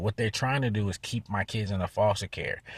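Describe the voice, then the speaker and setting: A man speaks at a medium pitch, somewhat breathy, in a very clean recording with a silent background and a dry, close sound with no echo. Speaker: vlogger. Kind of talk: vlog update. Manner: fast.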